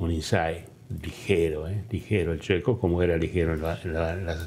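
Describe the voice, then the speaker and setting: A man's dark, mellow tone, very deep and low in pitch, somewhat breathy. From Argentina, Balcarce (Buenos Aires province). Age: 80s+. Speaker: former museum foundation president. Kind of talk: interview testimony. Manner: halting, many fillers.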